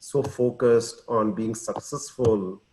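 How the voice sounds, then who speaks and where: A man speaks at a medium pitch with ordinary pitch variation. His tone is dark, mellow and somewhat breathy. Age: 60s. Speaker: entrepreneur. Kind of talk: personal testimony. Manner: hesitant.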